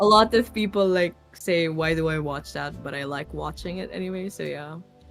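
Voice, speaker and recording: Over music in the background, a woman talks at a moderate pace, her loudness swinging widely. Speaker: voice artist. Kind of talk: podcast interview.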